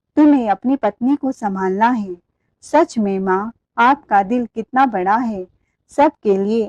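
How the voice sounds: A natural reading voice with ordinary pitch variation over a quiet background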